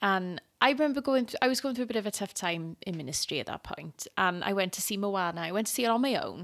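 Over a silent background on a very clean recording, a woman with a Welsh accent speaks at medium pitch, very fast and with hardly any pauses, using lively intonation. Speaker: podcast co-host and youth leader. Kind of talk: casual chat. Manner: giggly.

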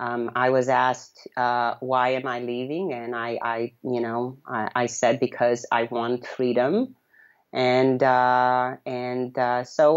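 A woman speaks at a very deep, low pitch. The background is quiet. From Romania, city near Yugoslav border. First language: Romanian. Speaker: blogger and freedom advocate. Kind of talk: interview. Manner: halting.

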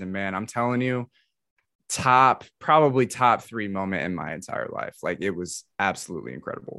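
A man with an American accent speaks at a moderate pace in a bright, sharp tone with ordinary pitch variation against a quiet background. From US South, metro Atlanta, Georgia. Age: 20s. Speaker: podcaster and streamer. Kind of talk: casual chat.

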